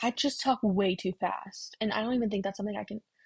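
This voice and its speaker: Somewhat breathy speech comes at a fairly quick pace with ordinary pitch variation, in a dry, close sound with no echo. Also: woman. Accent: American. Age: 20s. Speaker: podcast host. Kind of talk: casual voiceover aside. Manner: fast.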